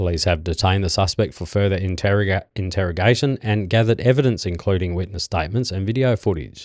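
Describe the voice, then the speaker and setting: A man with an Australian accent speaks very fast with hardly any pauses, his pitch fairly low with ordinary variation, against a quiet background. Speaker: podcast host. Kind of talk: reading news stories aloud with casual asides. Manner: halting, stumbling over words.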